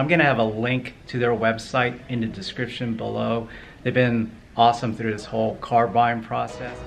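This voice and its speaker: Delivered at a fairly quick pace, the voice sits over light background noise. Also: man. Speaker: car buyer vlogger. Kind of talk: casual vlog chat. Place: shop. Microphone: phone near.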